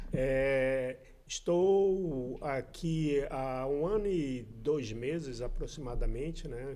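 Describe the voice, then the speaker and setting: The man's pitch sits fairly high, with a dark, mellow tone. Audible room echo surrounds his voice. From Brazil, Amazonas (Manaus). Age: 50s. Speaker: church member guest. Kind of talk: casual interview.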